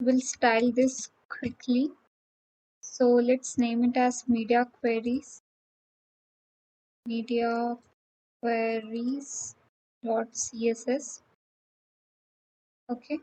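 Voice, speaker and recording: A woman speaks in a high pitch with a dark, mellow tone and monotone, flat intonation. Her pace is very slow, with long, frequent pauses. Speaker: coding tutor. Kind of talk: tutorial.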